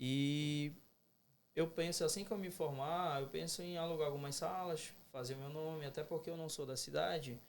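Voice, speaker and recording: Using fairly even intonation, a man speaks at a moderate pace with a fairly high pitch. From Belém, Pará, northern Brazil. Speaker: dentistry student. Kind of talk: casual podcast interview.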